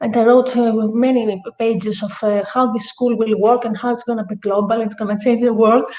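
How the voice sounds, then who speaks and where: A woman's fairly high voice with a Greek accent, monotone and flat, at a moderate pace with hardly any pauses. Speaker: podcast host. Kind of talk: casual chat. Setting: at her guest house estate. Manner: halting, many fillers.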